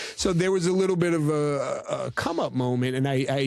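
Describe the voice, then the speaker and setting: A man with a New York accent and ordinary pitch variation, against noticeable background noise. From New York City. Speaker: podcast editor and film crew manager. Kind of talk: casual interview chat. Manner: casual, many fillers.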